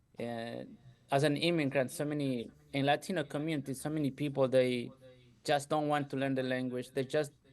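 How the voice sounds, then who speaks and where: A man talks at a moderate pace with a slight Ecuadorian accent. His pitch sits fairly high. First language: Spanish. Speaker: entrepreneur, contractor business owner. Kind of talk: podcast interview.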